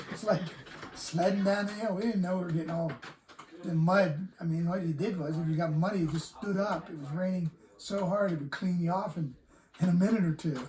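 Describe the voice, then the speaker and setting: A high-pitched man with an American accent speaks with fairly even intonation over noticeable background noise. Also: fairly quick pace. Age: 70s. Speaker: Woodstock attendee. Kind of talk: interview. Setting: log cabin.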